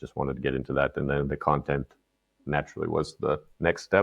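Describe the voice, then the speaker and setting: A very fast delivery with vocal fry, in a Canadian accent. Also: man. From Canada. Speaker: content marketer. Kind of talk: casual interview chat.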